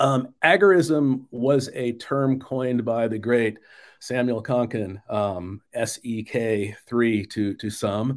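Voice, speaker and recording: A man in an American accent speaks at a very slow pace with a medium pitch. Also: ordinary pitch variation. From US Southwest, Phoenix area. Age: 50s. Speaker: author and former music industry worker. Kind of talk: interview. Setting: video call. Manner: halting, frequent word repetitions.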